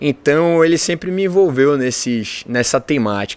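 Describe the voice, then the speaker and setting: Speaking with a Bahian accent, a man uses a fairly high pitch, ordinary pitch variation and a moderate pace. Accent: Bahian accent, noticeable. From Brazil, Salvador, Bahia. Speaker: engineer and business owner. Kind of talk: interview conversation.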